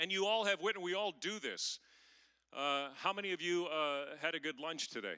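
A man with an American accent talks at a fairly quick pace in a high pitch with a bright, sharp tone. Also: ordinary pitch variation. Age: 50s. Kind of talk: sermon. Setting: stage with audience.

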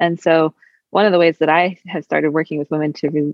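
This woman talks at a very fast pace. Her voice carries vocal fry. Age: 30s. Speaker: chiropractor and women's health practitioner. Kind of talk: interview conversation.

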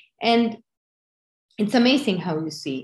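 A woman speaks with a Spanish accent and lively intonation. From Venezuela. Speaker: bereavement group leader, widow. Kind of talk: interview about grief.

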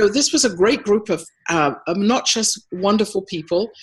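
With lively intonation and a moderate pace, a woman talks over noticeable background noise. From United States. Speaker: innovation agency CEO. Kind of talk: interview conversation.

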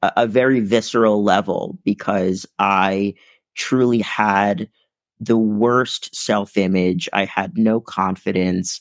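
A man at a very slow pace and fairly low pitch, ordinary pitch variation, on a very clean recording with a silent background and a dry, close sound with no echo. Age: 20s. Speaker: motivational keynote speaker. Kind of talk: interview.

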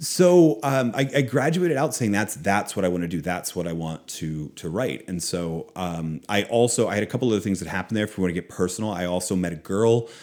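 An ordinary speaking voice, a man with an American accent talks at a fairly quick pace with hardly any pauses, a fairly low pitch and lively intonation on a very clean recording with a silent background. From Philadelphia and Boston area, US. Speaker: author and former business professor. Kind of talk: interview conversation.

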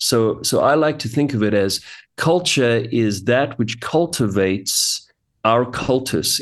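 Over a quiet background, a man with a South African accent speaks at a medium pitch and a fairly slow pace, with ordinary pitch variation. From South Africa, Johannesburg. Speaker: pastor and author. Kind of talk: interview.

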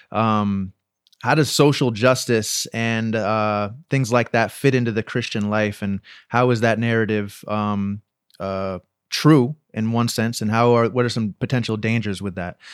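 On a very clean recording with a silent background, a man with an unremarkable speaking voice talks at a fairly slow pace, medium in pitch, with fairly even intonation. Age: 30s. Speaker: podcast co-host. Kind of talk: casual chat; testimony.

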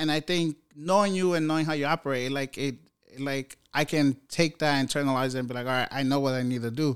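In a very clean recording with a silent background, a man with an American accent and a plain, everyday voice talks at a fairly quick pace, his fairly high pitch held in fairly even intonation. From New York City. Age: 30s. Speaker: software engineer. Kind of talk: casual chat. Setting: home studio.

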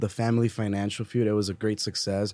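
Here a man uses a normal speaking voice at a fairly low pitch. He speaks at a moderate pace with an American accent. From Texas, Eagle Pass. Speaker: college student peer financial coach. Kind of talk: casual chat.

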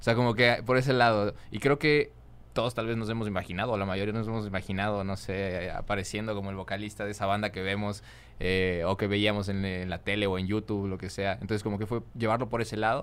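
Very fast speech from a man of fairly low pitch, with fairly even intonation. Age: young. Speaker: singer and influencer. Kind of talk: casual chat.

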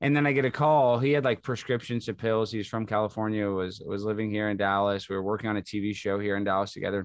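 A fairly low-pitched man with a Texan accent, very fast delivery and ordinary pitch variation against a quiet background. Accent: Texan American. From Texas. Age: 30s. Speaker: comedian. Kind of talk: podcast interview.

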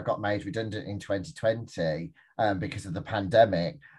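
Against a quiet background, a somewhat breathy man speaks with a Birmingham accent. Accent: Birmingham (Brummie). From Birmingham, England. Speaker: entrepreneur, business forum founder. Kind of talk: interview conversation. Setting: video call.

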